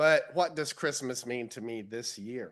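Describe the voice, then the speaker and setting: A man with a Southern US accent speaks over a quiet background. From US South, Central Florida. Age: 60s. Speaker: lay speaker at church. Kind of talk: sermon-style personal reflection.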